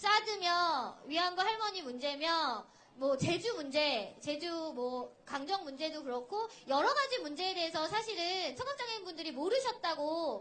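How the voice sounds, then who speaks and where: Raised and projected, a woman's extremely high voice has a bright, sharp tone and very wide pitch swings, moving at a fairly slow pace with audible room echo. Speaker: sign language interpreter. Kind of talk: rally speech. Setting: outdoor rally stage with crowd.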